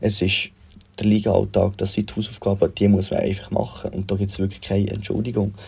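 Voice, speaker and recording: A man's fairly low, dark, mellow voice with vocal fry, monotone and flat, at a fairly quick pace. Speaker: football fan sending a voice message. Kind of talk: recorded voice message.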